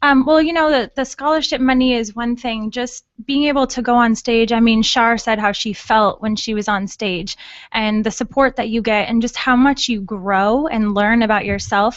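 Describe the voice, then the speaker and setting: Here is a woman with an unremarkable speaking voice and an American accent. She talks at a moderate pace. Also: fairly high pitch for a woman, ordinary pitch variation. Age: 20s. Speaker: beauty pageant winner. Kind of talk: radio interview.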